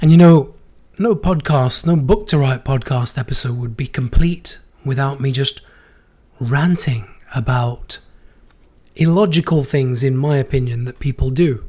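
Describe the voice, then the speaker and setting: A man's fairly high, somewhat breathy voice has a dark, mellow tone and ordinary pitch variation. He moves at a moderate pace with long, frequent pauses. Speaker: podcast host. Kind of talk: casual monologue. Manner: unsteady voice.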